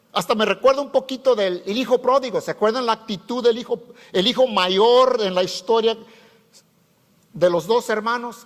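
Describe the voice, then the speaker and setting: An extremely high-pitched man's voice at a moderate pace. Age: 70s. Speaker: pastor. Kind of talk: sermon. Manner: casual, halting with many fillers and self-corrections.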